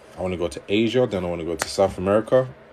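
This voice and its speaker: In a London accent, a man speaks at a fairly quick pace with a fairly low pitch and ordinary pitch variation. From London, England. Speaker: livestreamer and relationship coach. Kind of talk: livestream chat reading viewer comments. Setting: TikTok livestream.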